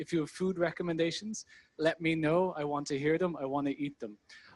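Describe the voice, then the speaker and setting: With an Irish accent, a man talks at a fairly quick pace with ordinary pitch variation. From Ireland. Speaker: product manager, conference speaker. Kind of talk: talk at a meetup. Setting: stage with audience.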